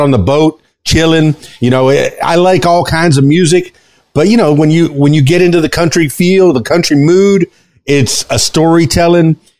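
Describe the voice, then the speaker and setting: Speaking with an American accent, a man uses a fairly high pitch, ordinary pitch variation, and a moderate pace. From South Florida. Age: 50s. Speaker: podcast host and DJ. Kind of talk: casual interview chat. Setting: studio. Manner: animated.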